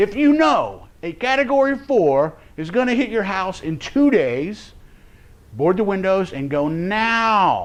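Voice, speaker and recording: Amid audible room echo, a man with an American accent speaks fairly slowly at a high pitch with very wide pitch swings. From Florida. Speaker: survival preparedness instructor. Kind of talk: class lecture. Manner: casual, halting with repetitions.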